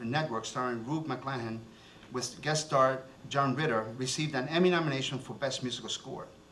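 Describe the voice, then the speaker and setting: A man talks at a fairly quick pace with ordinary pitch variation. Noticeable background noise and audible room echo are present. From born in Cuba, raised in New Jersey. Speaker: TV show host and city commissioner. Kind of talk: reading a guest bio aloud; stage emcee remarks with jokes. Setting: stage with audience at festival ceremony. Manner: animated, joking.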